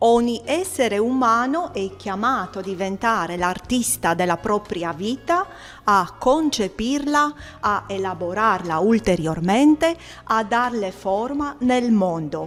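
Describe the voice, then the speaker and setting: With music in the background, a woman with a Romanian accent speaks very slowly at a fairly high pitch, using very wide pitch swings. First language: Romanian (speaking Italian). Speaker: artist, poet and gallery owner. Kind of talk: interview; declaiming prepared text. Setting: art exhibition opening. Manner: halting with fillers.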